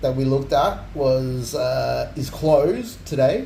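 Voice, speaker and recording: Very slow speech in an Australian accent, with audible room echo and noticeable background noise. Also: man. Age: 40s. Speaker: streamer. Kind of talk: casual chat.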